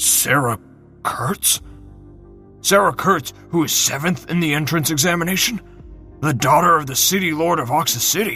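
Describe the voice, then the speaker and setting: Over clear background music, a man puts on a character voice with a fairly high pitch, speaking at a moderate pace with ordinary pitch variation and long, frequent pauses. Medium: read story. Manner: scornful, contemptuous.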